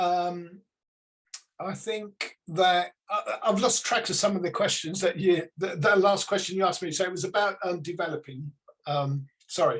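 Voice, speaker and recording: A man with a British accent, high pitch, ordinary pitch variation and a moderate pace. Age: 60s. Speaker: psychic medium. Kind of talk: interview. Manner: halting, many fillers.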